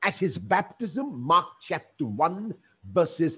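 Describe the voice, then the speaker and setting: The man speaks at a very slow pace. His pitch swings very widely. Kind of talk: sermon. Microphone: headset.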